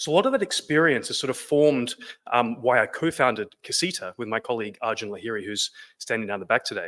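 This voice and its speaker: Speaking very fast with an Australian accent, a man uses a medium pitch and ordinary pitch variation. His tone is bright and sharp, the sound dry and close with no echo, and the recording very clean with a silent background. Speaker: business co-founder. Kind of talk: presentation.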